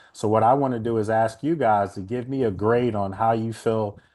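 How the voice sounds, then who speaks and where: Against a quiet background, a man with an American accent and an ordinary speaking voice talks at a moderate pace with a medium pitch and fairly even intonation. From Washington, DC. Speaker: sports radio host and NFL analyst. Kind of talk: sports talk show with fan call-ins.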